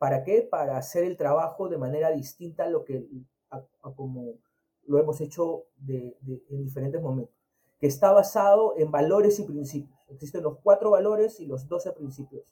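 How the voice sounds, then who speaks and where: A man's fairly high voice with a Peruvian accent, dark, mellow tone, big swings in loudness, ordinary pitch variation and a moderate pace. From Peru, Chincha (Ica). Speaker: agile consultant and former army officer. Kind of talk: interview. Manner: halting, frequent repetitions and fillers.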